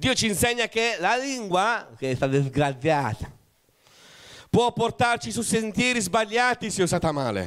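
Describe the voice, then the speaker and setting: A man's animated voice with very wide pitch swings, at a fairly slow pace against a quiet background. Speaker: pastor. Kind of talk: sermon. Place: church. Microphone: handheld.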